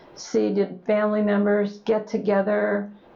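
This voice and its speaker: Speaking fairly slowly, a woman can be heard with noticeable background noise behind her. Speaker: oral history interviewer. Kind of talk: interview questions.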